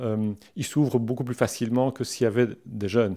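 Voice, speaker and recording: Speaking at medium pitch with ordinary pitch variation, a man has a dark, mellow tone. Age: 50s. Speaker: career transition coach. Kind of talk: interview. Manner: halting.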